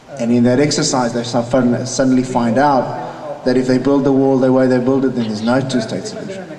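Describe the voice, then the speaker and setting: A man's medium-pitched voice at a fairly quick pace with hardly any pauses, amid audible room echo and noticeable background noise. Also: ordinary pitch variation. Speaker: peace activist and conference panelist. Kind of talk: conference panel talk.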